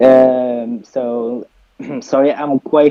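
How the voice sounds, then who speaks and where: A man's mid-range voice, its intonation fairly even, comes through with music playing behind him. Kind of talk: casual questions on a call.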